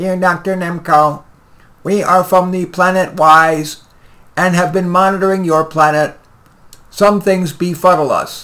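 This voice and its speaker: Using a croaky, put-on character voice at high pitch, a man speaks at a moderate pace in a monotone, flat intonation with long, frequent pauses. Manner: formal, earnest.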